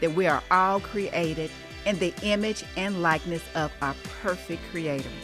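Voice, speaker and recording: A woman's voice with music in the background. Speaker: talk show host. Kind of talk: interview host questions.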